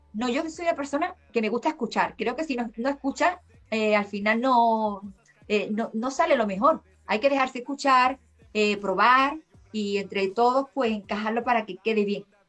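In a normal speaking voice, a woman with a fairly high pitch speaks at a moderate pace. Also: ordinary pitch variation. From Seville, Andalusia, Spain. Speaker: singer-songwriter. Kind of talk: interview conversation. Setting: remote call from Spain.

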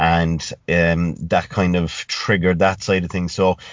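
Here a man talks in a Cork accent. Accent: Cork Irish. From Ireland, rural West Cork. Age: 30s. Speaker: fitness coach and gym owner. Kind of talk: casual chat.

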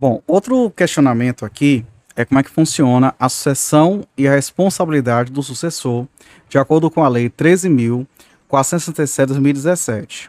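A man talks at a fairly slow pace with a fairly high pitch and ordinary pitch variation. The sound is dry and close, with no echo. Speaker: law podcast host / lecturer. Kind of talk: lecture. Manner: halting, with fillers.

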